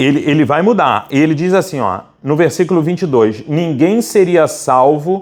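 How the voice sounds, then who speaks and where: Talking at a fairly slow pace, a man uses lively intonation and a fairly high pitch. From Brazil, Rio de Janeiro. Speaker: pastor. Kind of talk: sermon. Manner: animated.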